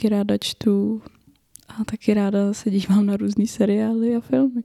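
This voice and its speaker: An ordinary speaking voice comes through at a fairly slow pace with fairly even intonation, in a dry, close sound with no echo. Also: woman. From northern Bohemia, Czechia (Roudnice nad Labem). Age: 20s. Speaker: podcast co-host and university student. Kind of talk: casual chat.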